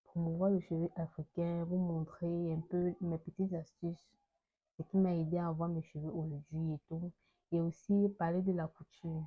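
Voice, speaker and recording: This woman has a fairly low pitch and a somewhat breathy voice. Her intonation is monotone and flat, and her pace is fairly slow. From Cameroon. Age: 20s. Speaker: fashion student and hair product seller. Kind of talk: casual vlog talk.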